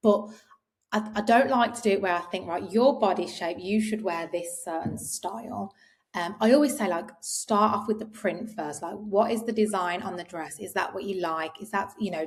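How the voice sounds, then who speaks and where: In an English accent, the speaker moves at a fairly quick pace with ordinary pitch variation. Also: woman. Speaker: clothing brand co-founder. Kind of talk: interview. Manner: quiet.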